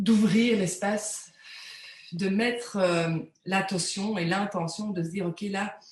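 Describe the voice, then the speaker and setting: Speaking at a medium pitch, a woman uses ordinary pitch variation. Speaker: energy healing practitioner. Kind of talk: live interview, spiritual talk. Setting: live video interview. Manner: hesitant, many repeated words.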